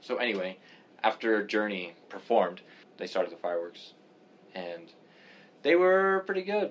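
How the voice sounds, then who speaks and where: A man at medium pitch, very wide pitch swings, a moderate pace, and long, frequent pauses. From Canada. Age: 20s. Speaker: physics student podcaster. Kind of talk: casual chat.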